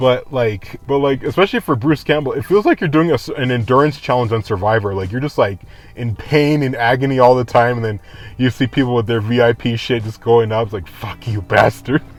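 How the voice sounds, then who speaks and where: A man's speech comes at a fairly quick pace, with ordinary pitch variation and noticeable background noise behind it. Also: medium pitch for a man. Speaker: vlogger. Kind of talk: casual vlog monologue. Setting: outdoors after leaving a convention. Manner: rambling, halting.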